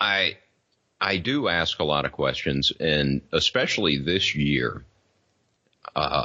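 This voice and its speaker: With a Southern US accent, a man speaks at a very slow pace in a very deep, low voice with vocal fry, lively intonation, very even loudness, and long, frequent pauses. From US South. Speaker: podcaster. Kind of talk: casual chat. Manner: slurred; halting.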